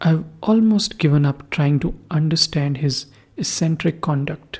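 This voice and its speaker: A woman with a very deep, low pitch speaks at a fairly slow pace, sounding somewhat breathy. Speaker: podcast host. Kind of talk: first-person horror story reading.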